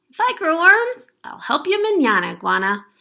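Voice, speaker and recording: A woman uses a put-on character voice at an extremely high pitch, her pitch swinging very widely. Her voice is raised and projected. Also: moderate pace. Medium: read story. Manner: lazy, excuse-making.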